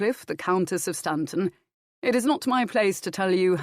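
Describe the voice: Plain reading aloud with ordinary pitch variation. The background is quiet.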